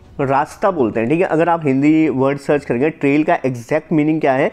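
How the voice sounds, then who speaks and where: A man speaks at a fairly high pitch. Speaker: stock market educator. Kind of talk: tutorial. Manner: fast; casual.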